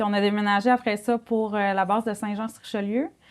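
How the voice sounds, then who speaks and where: On a very clean recording with a silent background, a woman talks in a fairly high voice. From Quebec, Saguenay. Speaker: nurse and mother. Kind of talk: testimony. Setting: studio.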